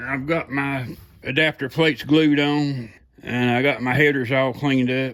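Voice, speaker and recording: The speaker is a man with a Southern US accent. His pitch is medium. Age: 60s. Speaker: home mechanic and car hobbyist. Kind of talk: casual workshop vlog. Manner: casual, folksy with many fillers.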